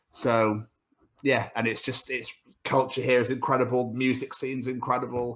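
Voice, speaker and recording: With a southern English accent, a man speaks in monotone, flat intonation. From England, Cheltenham (born in Scotland). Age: 30s. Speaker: podcast host. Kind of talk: casual chat.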